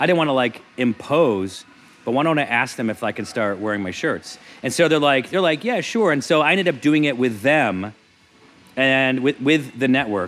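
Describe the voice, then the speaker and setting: Using an ordinary speaking voice, a man speaks at a moderate pace with lively intonation. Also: medium pitch for a man. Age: 40s. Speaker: comedian. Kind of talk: casual chat.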